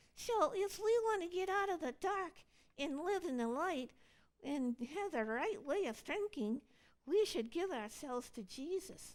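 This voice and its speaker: A cartoonish character voice, female-sounding and extremely high-pitched, at a moderate pace. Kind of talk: church puppet skit dialogue.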